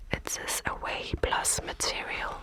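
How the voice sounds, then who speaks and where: A woman whispers in a calm tone at a very slow pace, with noticeable background noise behind her. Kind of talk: casual thinking-aloud while solving chess puzzles. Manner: soft, whispery, calm.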